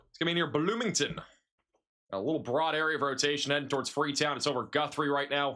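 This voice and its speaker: Bright and sharp, a fairly high-pitched man speaks at a very fast pace with ordinary pitch variation. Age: 20s. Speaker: meteorologist streaming live severe weather coverage. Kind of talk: live storm coverage stream. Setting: livestream with chat.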